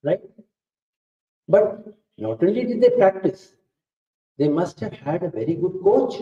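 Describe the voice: Pitched high for a man, his voice carries a slightly husky edge and lively intonation at a fairly slow pace.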